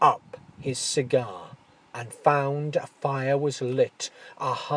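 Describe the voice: The speaker is engaged in plain reading aloud.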